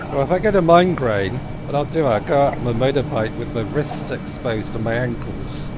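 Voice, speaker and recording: With lively intonation and a fairly quick pace, a man talks amid noticeable background noise and audible room echo. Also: medium pitch for a man. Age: 60s. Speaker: flight sim streamer. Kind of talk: casual chat. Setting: live stream.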